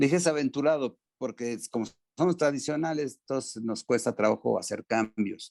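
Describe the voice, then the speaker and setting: A man's medium-pitched voice in a Mexican accent, fairly quick and lively in intonation, with a dry, close sound and no echo. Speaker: former American football player. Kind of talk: interview. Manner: hesitant, many fillers.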